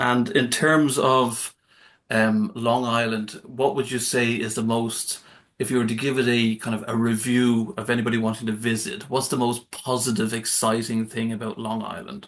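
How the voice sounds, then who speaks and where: This man speaks with an Irish accent at a moderate pace. His pitch is medium and his intonation fairly even. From Ireland. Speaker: podcast host. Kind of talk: interview. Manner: halting.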